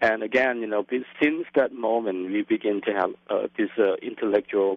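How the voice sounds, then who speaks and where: A man speaks with a Lao accent. His pitch shows ordinary variation. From Laos. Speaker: filmmaker and activist. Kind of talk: interview. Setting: phone call. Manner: hesitant, many fillers.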